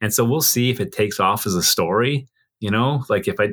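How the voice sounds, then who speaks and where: The speaker has a Canadian accent. The pitch moves with ordinary variation. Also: man. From Canada, Yukon. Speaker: wildlife photographer. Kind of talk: casual interview. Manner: halting, many fillers and repeats.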